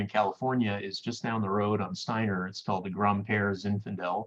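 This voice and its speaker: A man's fairly low voice in a French Canadian accent, at a moderate pace. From Quebec, Canada. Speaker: winemaker and vineyard owner. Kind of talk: interview on a virtual wine tasting. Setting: video call.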